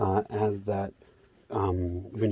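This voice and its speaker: A man with an American accent and a dark, mellow tone. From US South, Georgia. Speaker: vlogger. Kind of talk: walking monologue. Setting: outdoors, walking. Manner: loud; halting, many fillers.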